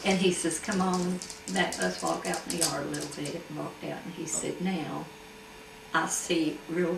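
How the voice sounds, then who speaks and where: In an Appalachian accent, a woman with a fairly low pitch speaks fairly slowly with ordinary pitch variation over noticeable background noise. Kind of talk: oral history interview answer. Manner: casual, storytelling.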